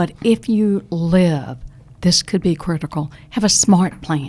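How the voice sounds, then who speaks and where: The speaker has a Southern US accent and a very slow pace. The intonation is lively. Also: woman, fairly low pitch for a woman. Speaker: retired Social Security expert. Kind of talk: podcast interview. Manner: animated.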